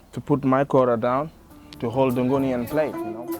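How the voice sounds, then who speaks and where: A man talks at a moderate pace and medium pitch in a monotone, flat way, with music in the background. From Senegal. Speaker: griot musician. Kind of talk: documentary interview answer. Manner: casual, conversational.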